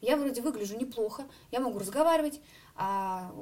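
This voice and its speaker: A woman with very wide pitch swings over noticeable background noise. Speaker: singer and student. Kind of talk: interview.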